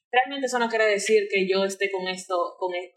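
A woman talks fairly quickly, and her pitch moves in an ordinary way. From Dominican Republic, Santo Domingo. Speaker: illustrator. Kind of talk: interview.

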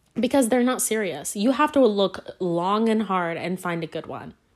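A woman speaks at a moderate pace in an unremarkable speaking voice. Her intonation is lively. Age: 20s. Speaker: podcast host. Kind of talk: casual solo chat. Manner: rambling with many fillers and restarts.

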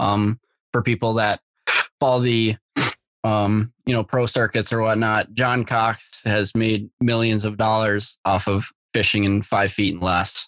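A man with an American accent and an ordinary speaking voice talks at a moderate pace and fairly low pitch with fairly even intonation. The recording is very clean and dry, close with no echo, over a silent background. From Minnesota, Grand Rapids. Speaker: college bass angler. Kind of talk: casual chat.

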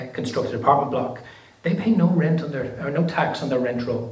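A man with an Irish accent speaks fairly quickly. His intonation is fairly even over noticeable background noise. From Ireland. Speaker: politician and housing spokesperson. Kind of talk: panel discussion. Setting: stage with audience.

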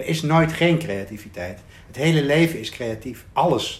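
The man's fairly high voice has vocal fry and very wide pitch swings. Audible room echo surrounds it. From Netherlands, Arnhem. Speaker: coach and writer. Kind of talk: casual chat. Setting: rooftop in Amsterdam.

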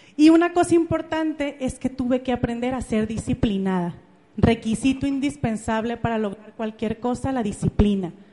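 Against noticeable background noise, a woman with a high pitch talks at a moderate pace with lively intonation. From Mexico, Jalisco (Ameca, near Guadalajara). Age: 30s. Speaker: motivational speaker, network marketing entrepreneur. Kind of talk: motivational talk. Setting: stage with audience. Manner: animated.

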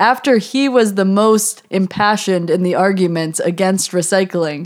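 A woman with an American accent speaks in a plain, everyday voice at medium pitch. Her pace is moderate and her pitch variation ordinary. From United States. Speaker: podcast host and university student. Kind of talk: casual chat, podcast conversation.

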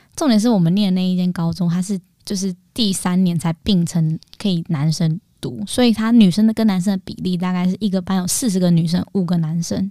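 With hardly any pauses, a woman speaks at a fairly quick pace in a medium pitch, somewhat breathy, with ordinary pitch variation and a dry, close sound with no echo. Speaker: podcast co-host and YouTuber. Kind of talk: casual chat.

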